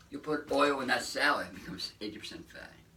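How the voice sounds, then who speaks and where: In a room with audible echo, a man's speech moves fairly quickly. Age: 70s. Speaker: raw vegan lifestyle vlogger. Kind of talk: casual motivational monologue.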